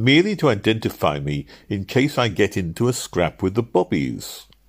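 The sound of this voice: In a put-on character voice, a man with a fairly low pitch and a slightly husky edge makes big pitch swings. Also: moderate pace.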